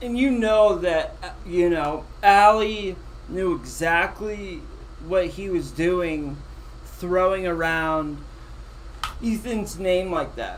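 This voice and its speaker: Over noticeable background noise and audible room echo, a man with a high pitch and ordinary pitch variation talks at a very slow pace with long, frequent pauses. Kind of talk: casual chat reacting to a replayed interview. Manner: halting, stumbling over words.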